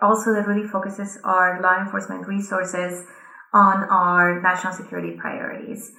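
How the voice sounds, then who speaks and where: With a Colombian accent, a woman speaks at a medium pitch and a moderate pace in a monotone, flat delivery. Audible room echo surrounds her voice. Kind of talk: conference speech.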